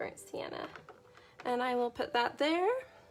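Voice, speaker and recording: A woman speaks softly. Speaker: art instructor. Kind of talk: tutorial. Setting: live stream. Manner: soft-spoken.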